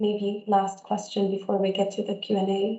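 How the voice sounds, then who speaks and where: An unremarkable speaking voice, fairly slow in pace. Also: woman. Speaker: speech and language therapist. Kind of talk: webinar talk / interview moderation.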